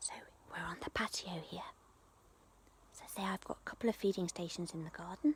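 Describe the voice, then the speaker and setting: At a moderate pace, a woman speaks in a whisper. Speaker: hedgehog rescuer. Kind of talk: live-streamed garden tour talk. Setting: outdoors in garden at night. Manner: quieter, hushed outdoors.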